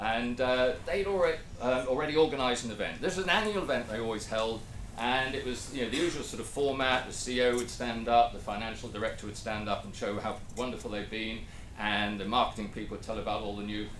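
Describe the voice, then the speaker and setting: Over light background noise and audible room echo, a man talks at a very fast pace. His pitch variation is ordinary. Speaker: presenter. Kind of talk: lecture. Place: meeting room.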